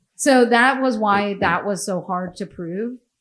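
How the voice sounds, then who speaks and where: An ordinary speaking voice with ordinary pitch variation. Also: woman. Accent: American. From United States. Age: 40s. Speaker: podcast host. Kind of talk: casual chat.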